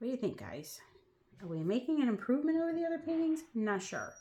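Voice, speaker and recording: The voice has a dark, mellow tone and its pitch swings very widely. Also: woman. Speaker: watercolor artist. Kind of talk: tutorial. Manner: casual, chatty.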